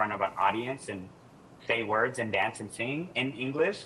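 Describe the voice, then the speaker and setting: Over noticeable background noise, a man with an American accent and medium pitch speaks at a fairly quick pace with ordinary pitch variation. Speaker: doctoral student and former English teaching assistant. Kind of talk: podcast interview. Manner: animated.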